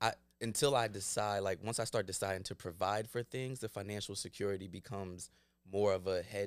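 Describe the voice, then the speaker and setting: In an ordinary speaking voice, a man with an American accent talks at a fairly quick pace with fairly low pitch and fairly even intonation, the sound dry with no echo. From Glassboro, New Jersey, US; New Jersey. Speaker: actor. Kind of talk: casual chat. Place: studio. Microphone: studio mic.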